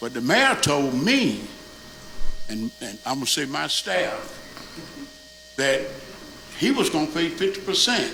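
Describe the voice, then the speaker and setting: Loud and with very wide pitch swings, a man speaks at a fairly slow pace with long, frequent pauses amid audible room echo and noticeable background noise. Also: fairly high pitch for a man. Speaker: neighborhood association officer. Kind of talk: public meeting comment. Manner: animated. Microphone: far from the mic, not working.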